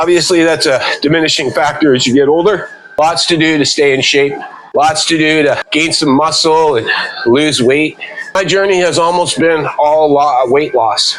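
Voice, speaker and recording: Over noticeable background noise, a man talks at a moderate pace with very even loudness and fairly even intonation. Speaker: fitness vlogger. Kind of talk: casual talk to camera while walking. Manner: slightly out of breath.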